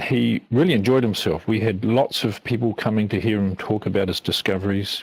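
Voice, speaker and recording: This man speaks with a New Zealand accent. His pitch is medium and his pace moderate. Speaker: biblical archaeology lecturer. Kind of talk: interview.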